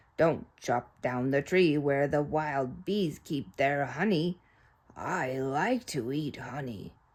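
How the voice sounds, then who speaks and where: In a put-on character voice, a woman growls at a very deep, low pitch with a raspy edge. She speaks at a very slow pace. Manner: growling.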